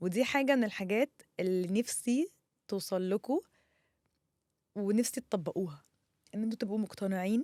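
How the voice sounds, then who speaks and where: A woman's dark, mellow voice at medium pitch, with ordinary pitch variation, a moderate pace and long, frequent pauses, in a dry, close recording with no echo. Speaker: content creator. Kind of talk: personal monologue. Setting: studio. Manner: loud; halting.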